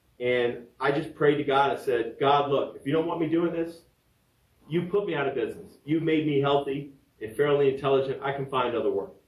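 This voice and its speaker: In an American accent, a man speaks at a fairly quick pace with a fairly high pitch and fairly even intonation. Audible room echo surrounds his voice. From Virginia, US. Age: 60s. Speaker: podcaster and fitness trainer. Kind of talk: personal storytelling podcast. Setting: home studio.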